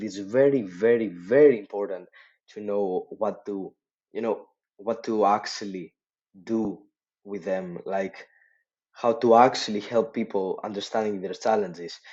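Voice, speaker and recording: This man has a non-native accent and a fairly low pitch. His intonation stays fairly even. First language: not English. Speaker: social media marketing agency owner. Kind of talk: casual tutorial talk to camera. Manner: hesitant, lots of filler words.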